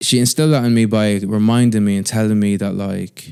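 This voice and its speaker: The recording is very clean, with a silent background. A man speaks at a medium pitch with ordinary pitch variation. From Ireland, Athlone. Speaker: podcast co-host. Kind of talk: casual chat.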